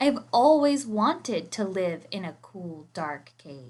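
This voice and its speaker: A woman's put-on character voice at medium pitch, fairly slow, with very wide pitch swings. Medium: read story. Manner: wondering, gentle.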